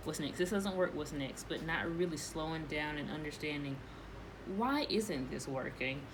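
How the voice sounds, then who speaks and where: Amid noticeable background noise and audible room echo, a woman with a fairly low pitch speaks fairly quickly with ordinary pitch variation. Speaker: tarot reader. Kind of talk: tarot reading monologue. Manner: fast.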